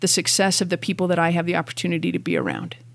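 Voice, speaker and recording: Vocal fry colors this woman's fairly low-pitched voice. She talks at a very fast pace. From Canada. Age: 50s. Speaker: gym owner and general manager. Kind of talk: interview.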